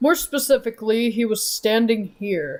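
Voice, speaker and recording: A man's put-on character voice, extremely high-pitched and lively in intonation, at a moderate pace. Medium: game stream. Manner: emphatic, deductive.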